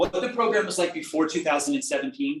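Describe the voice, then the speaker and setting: Lively intonation marks a man talking with an American accent. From New Jersey. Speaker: reverse mortgage lender. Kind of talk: presentation to a class. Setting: seminar room, in person and on video call. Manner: fast.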